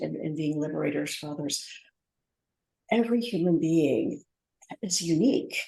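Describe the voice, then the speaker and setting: A woman's fairly low voice with vocal fry, lively intonation and a moderate pace. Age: 50s. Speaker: business strategist and speaker. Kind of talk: podcast interview. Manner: halting.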